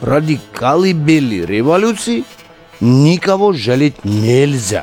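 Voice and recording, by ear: Using a put-on character voice, a man speaks slowly at medium pitch with big pitch swings and a slightly mellow tone as faint music plays in the background.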